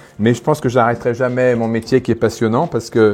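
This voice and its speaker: Music plays in the background as a man speaks. His pitch is medium and his pace fairly quick. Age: 60s. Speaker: winegrower. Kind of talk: casual interview during wine tasting. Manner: animated.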